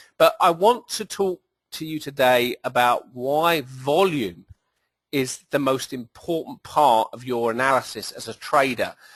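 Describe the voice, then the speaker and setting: With a British accent, a man speaks at a fairly slow pace and a fairly high pitch, showing ordinary pitch variation and big swings in loudness. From southern England. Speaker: trading educator, company executive. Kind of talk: presentation. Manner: hesitant, with fillers.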